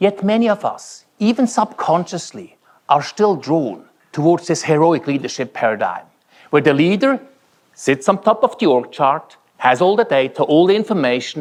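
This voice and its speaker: A man's high voice with a Swiss German accent, very wide pitch swings, a moderate pace and a quiet background. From Switzerland. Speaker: keynote speaker. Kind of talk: keynote speech. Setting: conference stage with audience.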